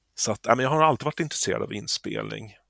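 A man speaks at a very fast pace. The recording is very clean, silent behind him, dry and close with no echo. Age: 50s. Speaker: musician. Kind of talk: interview.

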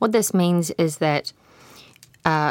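A woman talks at a fairly slow pace in a New Zealand accent, with ordinary pitch variation. The sound is dry and close with no echo, and the recording is very clean with a silent background. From Waikato, New Zealand. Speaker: independent researcher. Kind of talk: panel discussion.

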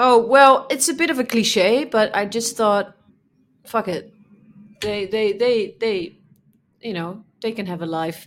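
In a very clean recording with a silent background, a woman with a Dutch accent speaks at a fairly slow pace with long, frequent pauses, her fairly high pitch showing ordinary variation. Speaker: podcast co-host. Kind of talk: casual chat.

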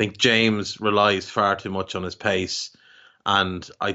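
The speaker talks in an Irish accent. The intonation is monotone and flat. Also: man. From Ireland. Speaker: football podcaster. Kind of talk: casual chat.

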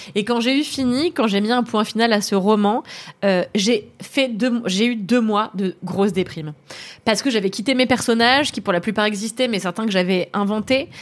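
A woman's fairly high voice, an ordinary speaking voice, at a moderate pace with ordinary pitch variation. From France, Paris area (Levallois). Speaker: author and screenwriter. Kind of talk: casual chat. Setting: live stream.

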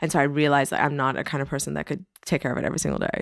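Very deep, low female voice with vocal fry and fairly even intonation, on a very clean recording with a silent background. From Iran, Tehran; moved to US at ten. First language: Persian. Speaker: fashion designer. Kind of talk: casual interview chat.

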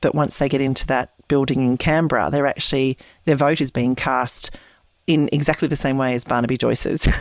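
In an Australian accent, a woman speaks at a fairly quick pace with a very deep, low pitch and fairly even intonation. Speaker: independent political candidate. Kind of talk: interview.

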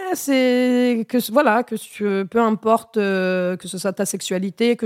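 A plain, everyday voice with ordinary pitch variation comes through a very clean recording with a silent background and a dry, close sound with no echo. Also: woman. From Normandy countryside, then Melun suburbs. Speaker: stand-up comedian. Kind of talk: casual chat.

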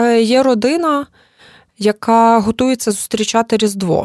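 Dry and close with no echo, a woman's unremarkable speaking voice moves at a moderate pace, fairly high in pitch with ordinary pitch variation. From Ukraine, Lviv. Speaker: journalist and cultural manager. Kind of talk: interview conversation.

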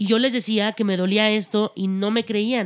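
Heard on a very clean recording with a silent background, a woman speaks at a fairly slow pace with fairly even intonation. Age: 30s. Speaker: actress. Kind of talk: casual chat.

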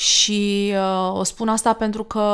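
This woman speaks at a very slow pace. She keeps a monotone, flat intonation. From Romania, Danube region. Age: 40s. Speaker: podcast host. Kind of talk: casual chat.

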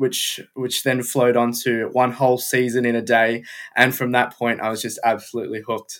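A man speaks at a moderate pace with an Australian accent. His pitch sits in the medium range. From Melbourne, Australia. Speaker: F1 content creator. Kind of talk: casual interview chat.

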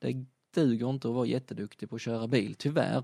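This is a man with an unremarkable speaking voice, medium in pitch, talking at a moderate pace with ordinary pitch variation. The sound is dry and close with no echo, over a quiet background. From southern Sweden (Skåne, Kristianstad area). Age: 30s. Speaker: rally driver and motorsport retailer. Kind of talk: casual interview.

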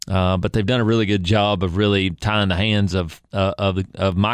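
Recorded very cleanly against a silent background, a man with a fairly low voice speaks in an East Tennessee accent. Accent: East Tennessee Southern US. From Upper East Tennessee (Kingsport). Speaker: state legislator. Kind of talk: interview.

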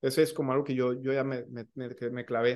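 Speaking fairly quickly, a man is heard with a quiet background. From Mexico, Michoacán. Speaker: physician and podcast co-host. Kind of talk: casual chat.

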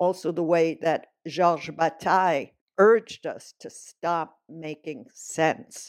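A woman with a fairly low pitch speaks at a very slow pace with fairly even intonation and big swings in loudness. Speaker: philosophy professor. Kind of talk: lecture. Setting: home recording during lockdown. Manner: halting.

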